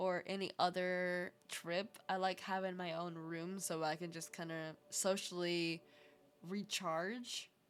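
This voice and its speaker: Here a woman talks at a medium pitch. Her pace is very slow. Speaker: vtuber streamer. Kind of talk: casual stream chat, travel stories. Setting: live stream. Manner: casual, hesitant with fillers.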